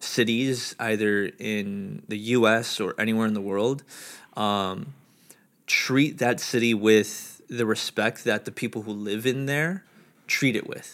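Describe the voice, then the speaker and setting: A normal speaking voice from a man with an American accent, medium in pitch with ordinary pitch variation, at a fairly slow pace, on a very clean recording with a silent background. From New York. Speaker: podcast guest. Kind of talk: casual chat.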